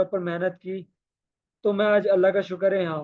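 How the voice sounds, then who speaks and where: This man speaks at a moderate pace in a high voice. His intonation is flat and monotone. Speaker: coding teacher. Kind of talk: online class lecture. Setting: online class. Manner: casual, conversational.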